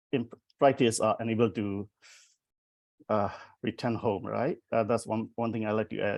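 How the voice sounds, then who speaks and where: A man with a Burmese accent speaks at a moderate pace and medium pitch, his intonation fairly even, with long, frequent pauses. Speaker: poet. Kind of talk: panel discussion. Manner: halting.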